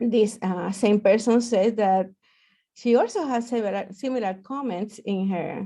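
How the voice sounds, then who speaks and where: A woman's dark, mellow tone at a moderate pace, with ordinary pitch variation, over a quiet background. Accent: Puerto Rican. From Puerto Rico. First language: Spanish. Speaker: professor. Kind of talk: lecture. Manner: hesitant with many fillers.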